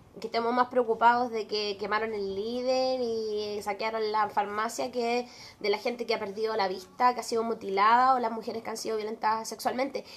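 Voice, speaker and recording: In a Chilean accent, a woman speaks at a fairly quick pace. Her fairly high voice stays monotone and flat. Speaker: podcast co-host. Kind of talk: casual chat.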